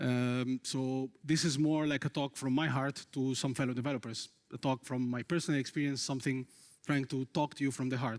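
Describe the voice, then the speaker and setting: A man speaks at a medium pitch and a fairly quick pace with an Arabic accent, his loudness very even and his intonation flat and monotone, in a very clean recording with a silent background and a dry, close sound with no echo. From Egypt, Cairo. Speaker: software engineer. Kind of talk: conference talk. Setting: stage with audience.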